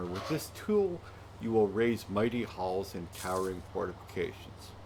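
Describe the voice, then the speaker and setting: A man speaks at a fairly slow pace. His voice is somewhat breathy, with ordinary pitch variation. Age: old. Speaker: video game streamer. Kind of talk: reading on-screen game tutorial text aloud.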